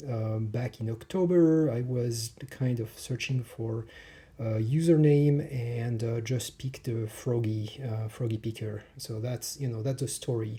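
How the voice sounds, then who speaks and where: A medium-pitched man speaks fairly slowly in a strong French accent with fairly even intonation. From France. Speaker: hobbyist lockpicker. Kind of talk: casual tutorial. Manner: hesitant, many fillers.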